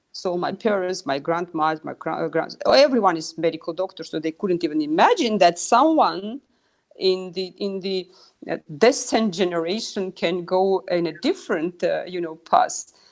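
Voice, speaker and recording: A woman's medium-pitched voice with a Russian accent, moderate pace and ordinary pitch variation. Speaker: pharmaceutical executive. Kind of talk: interview.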